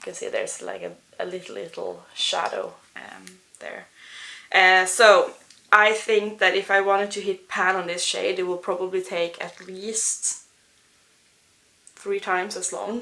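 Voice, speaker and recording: With a non-native accent, a woman speaks at a fairly slow pace, leaving long, frequent pauses. Her loudness swings widely. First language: not English. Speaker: beauty vlogger and English teacher. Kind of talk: casual product review vlog. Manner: halting, many fillers.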